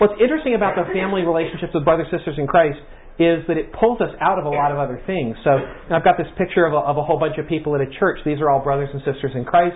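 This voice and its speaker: Over noticeable background noise, a man with a high voice talks at a very fast pace with ordinary pitch variation. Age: 60s. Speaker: church workshop teacher. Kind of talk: interactive workshop talk. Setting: room with live audience. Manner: conversational, halting.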